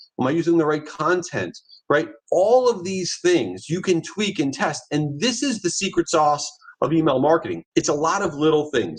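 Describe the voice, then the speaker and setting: Energetic in tone, a man speaks with lively intonation. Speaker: marketing agency founder, presenter. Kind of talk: presentation. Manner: fast.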